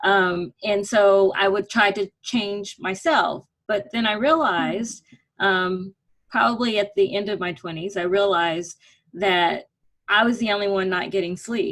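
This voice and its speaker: Using a normal speaking voice, a woman talks fairly slowly at medium pitch, her pitch varying in an ordinary way. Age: 50s. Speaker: women's network member. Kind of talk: casual chat.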